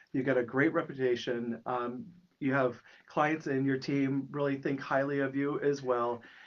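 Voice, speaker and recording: At a moderate pace, a man speaks in a fairly high pitch, his intonation fairly even and his loudness very even. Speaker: podcast host. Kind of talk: interview.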